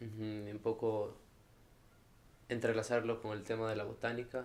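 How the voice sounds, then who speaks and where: The man's words come at a fairly slow pace, his pitch in the medium range. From El Salvador. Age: 20s. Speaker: university student. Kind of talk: interview.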